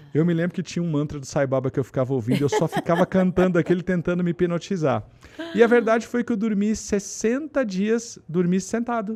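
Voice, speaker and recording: Intonation rises and falls in a lively way. The delivery is fairly quick. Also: man, high pitch for a man. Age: 40s. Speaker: podcast host. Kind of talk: casual chat.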